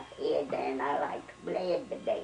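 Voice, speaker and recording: Noticeable background noise accompanies a woman's voice. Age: 80s+. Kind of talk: interview answer. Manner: casual, reminiscing.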